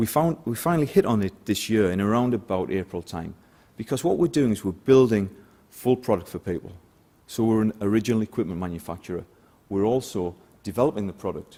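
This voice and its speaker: A man with a northeast English accent speaks at a very fast pace and a fairly low pitch. His tone is dark and mellow, with lively intonation. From northeast England. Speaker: sales director. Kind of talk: conference talk.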